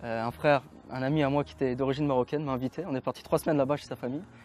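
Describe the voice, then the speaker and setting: With music in the background, a man speaks at a very fast pace in a dry, close sound with no echo. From France. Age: 20s. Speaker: convert to Islam. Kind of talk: interview testimony. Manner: halting.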